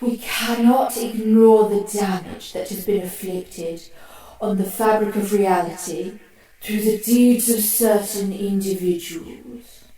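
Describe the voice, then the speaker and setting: The speaker uses a put-on character voice at a fairly high pitch. The pace is fairly slow, with a slight echo. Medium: audio drama. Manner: formal, deferential, nervous.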